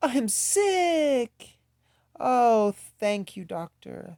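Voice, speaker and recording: A man speaks in a put-on character voice. His pitch sits extremely high. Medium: read story. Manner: anxious, dramatic.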